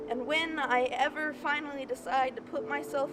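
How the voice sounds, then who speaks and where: A woman's fairly slow speech comes through noticeable background noise. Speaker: spoken word poet. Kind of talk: slam poetry performance. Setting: outdoors.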